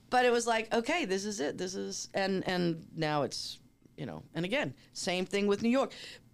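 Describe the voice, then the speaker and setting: A woman with a normal speaking voice and an American accent talks at a moderate pace and medium pitch, with lively intonation. The recording is very clean, with a silent background. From US Northeast, Boston. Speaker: talent manager. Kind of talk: interview conversation.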